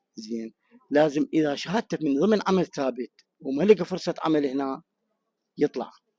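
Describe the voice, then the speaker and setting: A man's fairly high, dark, mellow voice in an Iraqi accent, at a fairly slow pace with ordinary pitch variation, dry and close with no echo. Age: 60s. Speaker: returning expatriate interviewed in the street. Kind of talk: street interview.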